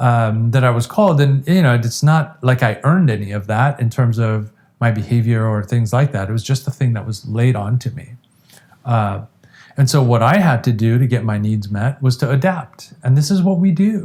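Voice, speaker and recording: A man with an American accent speaks at a moderate pace in a medium pitch with ordinary pitch variation, an ordinary speaking voice. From Iran, then US from age ten. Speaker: addiction treatment specialist. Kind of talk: interview conversation.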